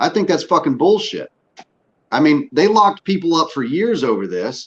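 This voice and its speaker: Vocal fry runs through a man's speech as his pitch swings very widely at a moderate pace. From US South, northwest Louisiana. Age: 40s. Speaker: podcast host, military veteran. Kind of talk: casual chat. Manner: animated.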